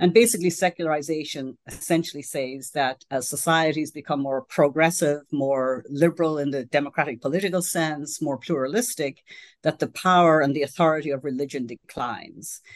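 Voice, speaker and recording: Over a quiet background, a woman with an Irish accent speaks at a fairly quick pace with hardly any pauses, her very deep, low pitch showing ordinary variation. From Ireland. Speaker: sociology professor. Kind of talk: interview.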